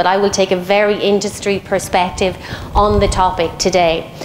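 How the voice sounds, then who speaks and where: A woman with an Irish accent speaks at a moderate pace in a medium-pitched, monotone, flat voice over noticeable background noise. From Ireland. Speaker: head of human resources, panelist. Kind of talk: panel debate opening statement. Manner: hesitant, many fillers.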